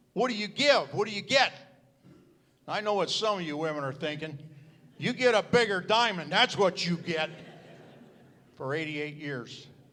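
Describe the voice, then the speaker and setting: A man in a raised, projected voice with a bright, sharp tone speaks at a moderate pace with lively intonation and long, frequent pauses. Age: 70s. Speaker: retired pastor. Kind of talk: speech at church celebration.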